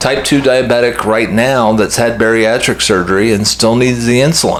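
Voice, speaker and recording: A man speaks at a moderate pace and medium pitch amid audible room echo and noticeable background noise. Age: 60s. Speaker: health vlogger. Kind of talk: casual monologue to camera. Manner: conversational with hesitations.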